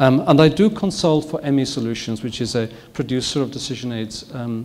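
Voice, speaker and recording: Audible room echo surrounds a man with a Welsh accent who talks at a fairly quick pace. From north Wales. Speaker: physician and professor. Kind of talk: lecture. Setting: stage with audience.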